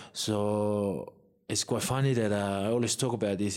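This man has a Samoan accent and a fairly low pitch. He talks at a moderate pace with fairly even intonation. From Samoa (Savai'i, then Apia). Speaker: professional rugby player. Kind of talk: interview. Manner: casual, hesitant.

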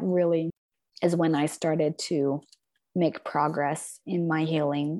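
At a fairly slow pace, a woman with an American accent and an unremarkable speaking voice talks at a fairly low pitch in a very clean recording with a silent background. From Logan, Utah, US. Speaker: author and bereaved mother. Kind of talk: interview.

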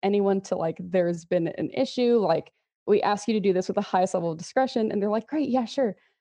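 A woman with an American accent and a plain, everyday voice speaks at a fairly quick pace and medium pitch, with ordinary pitch variation. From Texas, Houston area. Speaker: social media manager at a miniatures company. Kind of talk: casual interview chat.

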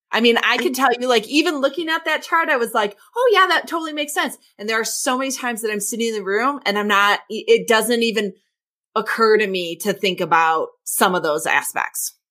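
A woman's bright, sharp, fairly high voice at a fairly quick pace, full of very wide pitch swings. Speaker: podcast co-host, coach and trainer. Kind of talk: casual chat. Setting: at home.

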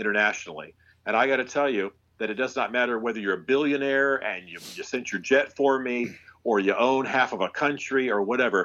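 In a plain, everyday voice, a man speaks fairly quickly at a medium pitch with ordinary pitch variation. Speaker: author and former pastor. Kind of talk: casual interview.

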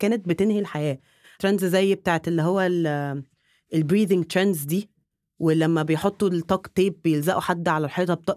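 A woman with a plain, everyday voice, medium pitch and ordinary pitch variation at a fairly quick pace. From Egypt. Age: 20s. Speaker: content creator, former dentist. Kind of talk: casual chat.

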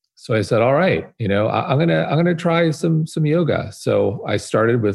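A somewhat breathy man speaks at a fairly quick pace. His intonation is lively. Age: 40s. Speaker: wellness media founder. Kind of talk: interview. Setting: video call.

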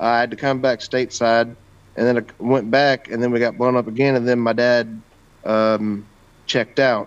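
A man of medium pitch speaks at a moderate pace in a monotone, flat delivery with very even loudness. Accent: American. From Kentucky and southern Illinois. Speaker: war veteran. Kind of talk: casual chat.

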